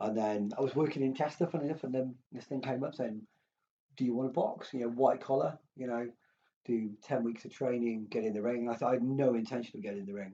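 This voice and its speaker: Speaking with an English accent, a man talks at a very fast pace. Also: medium pitch for a man, fairly even intonation. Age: 40s. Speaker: former professional boxer and hospitality manager. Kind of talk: casual chat.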